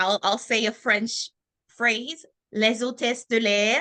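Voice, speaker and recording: A woman with a Haitian accent speaks at a very slow pace in a fairly high pitch. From Haiti and Florida, US; Haitian parents. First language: Haitian Creole. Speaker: former military officer, HR manager. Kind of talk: interview.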